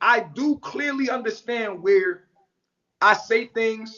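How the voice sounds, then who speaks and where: A man speaks loudly. His intonation is lively. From New York. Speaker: social media commentator. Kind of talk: livestream rant. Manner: blunt, forceful.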